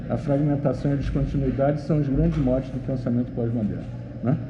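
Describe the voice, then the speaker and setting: A man's fairly high voice, with audible room echo. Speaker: professor. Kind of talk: lecture. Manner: fast; halting.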